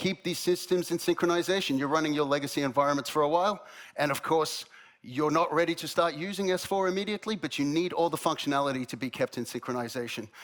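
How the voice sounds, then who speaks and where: This man has an Australian accent and a high pitch. He talks at a very fast pace with ordinary pitch variation. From Australia, Melbourne. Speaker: head of product at a software company. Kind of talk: conference presentation.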